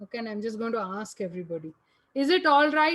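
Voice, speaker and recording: Very wide pitch swings run through the woman's speech. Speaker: physics lecturer. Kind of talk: online lecture. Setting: online class.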